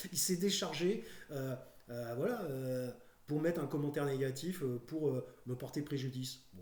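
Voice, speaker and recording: Somewhat breathy, a man talks at a fairly high pitch and a fairly slow pace with ordinary pitch variation and long, frequent pauses. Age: 50s. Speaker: YouTuber. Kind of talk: casual monologue. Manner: halting, many fillers.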